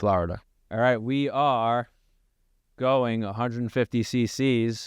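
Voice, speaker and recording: Over a quiet background, a man with a Long Island accent speaks at a medium pitch with fairly even intonation. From Long Island, New York. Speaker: gym owner and podcast co-host. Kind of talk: casual chat.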